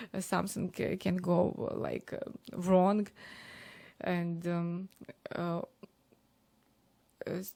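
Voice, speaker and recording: A woman's dark, mellow, fairly low voice in a Ukrainian accent, at a very slow pace with fairly even intonation and long, frequent pauses. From Ukraine. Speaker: DJ and streamer. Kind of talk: interview. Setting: live stream interview. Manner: halting, many fillers.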